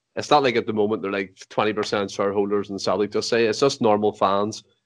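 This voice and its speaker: Against a quiet background, a man talks at a very fast pace. His pitch is fairly low. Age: 20s. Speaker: football podcast host. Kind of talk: casual chat.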